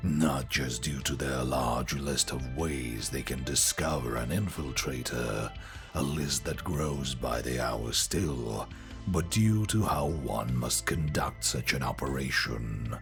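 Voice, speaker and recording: Over loud music in the background, a man hisses in a put-on character voice at a fairly slow pace. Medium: read story. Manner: authoritative, dry, matter-of-fact.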